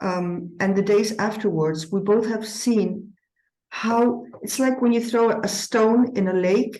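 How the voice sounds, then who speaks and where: Fairly slow and fairly high in pitch, a woman speaks with a dark, mellow tone. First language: not English. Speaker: eurythmy teacher. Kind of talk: conference presentation. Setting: conference with audience. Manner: hesitant, with frequent fillers.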